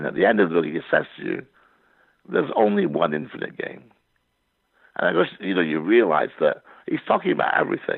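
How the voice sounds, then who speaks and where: A man with a Scottish accent at a very fast pace, broken by long, frequent pauses. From Scotland. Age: 60s. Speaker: poet and novelist. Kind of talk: interview conversation. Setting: podcast.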